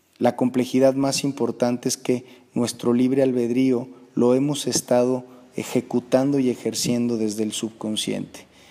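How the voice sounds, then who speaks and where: With a dark, mellow tone, a man speaks in a monotone, flat intonation at a moderate pace. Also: medium pitch for a man. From Mexico. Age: 30s. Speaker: motivational speaker. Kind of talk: personal testimony. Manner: hesitant, many fillers.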